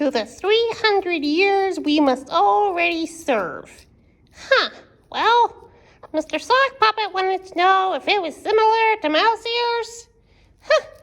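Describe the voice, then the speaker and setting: A woman does a cartoonish character voice at an extremely high pitch and a fairly slow pace. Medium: puppet. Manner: exaggerated, dramatic.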